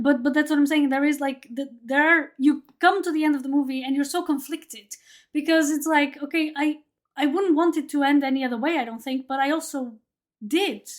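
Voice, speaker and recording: A woman with a Portuguese accent speaks at a fairly quick pace in a high voice with fairly even intonation. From Portugal. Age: 30s. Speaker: podcast host. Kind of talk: casual chat. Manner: halting, many repetitions.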